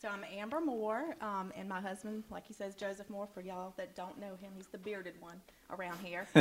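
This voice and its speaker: A woman's medium-pitched voice at a fairly quick pace, ordinary pitch variation, and noticeable background noise. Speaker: church member who disciples others. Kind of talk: casual interview on stage. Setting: church with audience.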